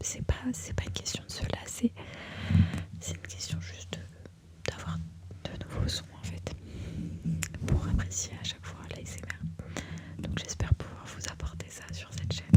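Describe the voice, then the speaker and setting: A woman whispers at a fairly slow pace with long, frequent pauses. Her loudness swings widely, and there is noticeable background noise. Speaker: ASMR creator and makeup enthusiast. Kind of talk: casual talk to camera, ASMR introduction. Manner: soft, close-mic whisper.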